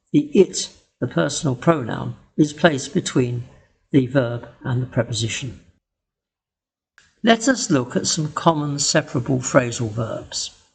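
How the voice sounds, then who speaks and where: With a British accent, a man speaks fairly slowly and somewhat breathily at a fairly high pitch, his intonation lively and his pauses long and frequent. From England. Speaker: English teacher. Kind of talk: educational tutorial narration.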